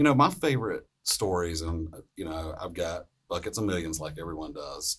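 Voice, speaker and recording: Someone with a Southern US accent talks at a moderate pace, with big swings in loudness. The recording is very clean with a silent background. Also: man. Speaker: emergency physician. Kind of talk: casual storytelling on a panel podcast.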